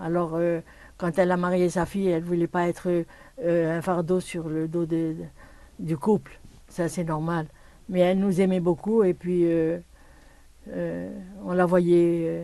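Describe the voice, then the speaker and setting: A dark, mellow tone at a fairly slow pace, flat and monotone, with long, frequent pauses. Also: woman. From Morocco (Port-Lyautey/Kénitra). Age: 80s+. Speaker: Holocaust-era survivor. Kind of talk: oral history interview. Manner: halting, with many hesitations.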